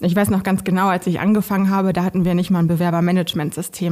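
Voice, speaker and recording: Very fast talking from a woman, her pitch medium. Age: 30s. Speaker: recruiter. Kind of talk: interview. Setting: studio.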